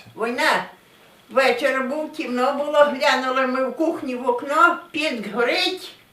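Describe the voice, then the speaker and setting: In a Polesian accent, a woman projects a raised, high voice at a fairly slow pace. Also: ordinary pitch variation. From Pinsk district, Brest region, Belarus. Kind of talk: interview answer.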